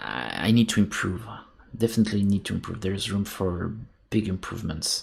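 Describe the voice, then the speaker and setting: Talking at a fairly quick pace with ordinary pitch variation, the speaker has a French accent. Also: man, fairly low pitch for a man. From France. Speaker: sculptor. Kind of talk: casual chat. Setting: live stream. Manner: halting.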